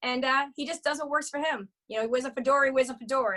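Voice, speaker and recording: A woman with a high pitch speaks at a very fast pace in a raised, projected voice, her tone bright, sharp and animated. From Boston area, US. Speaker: bartender and comedic storyteller. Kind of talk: casual chat.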